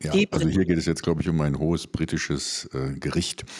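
There is noticeable background noise behind this man. His pitch variation is ordinary. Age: 50s. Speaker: radio show host. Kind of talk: scripted commentary reading; radio magazine chat.

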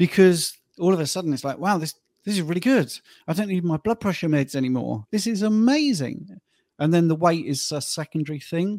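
In a dry, close sound with no echo, a man with a British accent talks at a fairly quick pace, his high voice lively in intonation. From UK. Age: 50s. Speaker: health coach. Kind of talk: interview. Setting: video call.

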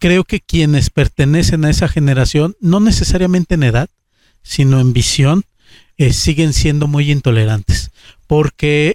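This man has a normal speaking voice, pitched fairly high, with ordinary pitch variation and a fairly slow pace. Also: dry, close sound with no echo. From Aguascalientes, Mexico. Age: 30s. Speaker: politician. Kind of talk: interview.

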